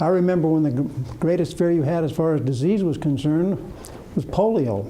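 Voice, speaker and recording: A man with an American accent talks at a fairly quick clip in a fairly high pitch, his pitch moving in an ordinary way, with audible echo from the room. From Utah, US. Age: 70s. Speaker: retired executive. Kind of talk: lecture.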